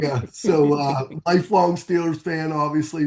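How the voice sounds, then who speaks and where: With an unremarkable speaking voice, a man talks at a moderate pace with fairly even intonation against a quiet background. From Pittsburgh, Pennsylvania, US. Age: 50s. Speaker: author. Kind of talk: interview. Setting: podcast.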